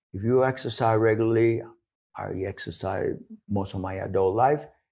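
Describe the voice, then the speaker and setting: At a moderate pace, a man talks in a dark, mellow tone at medium pitch, with ordinary pitch variation. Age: 70s. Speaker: clinical exercise director. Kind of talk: podcast interview. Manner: halting, many restarts.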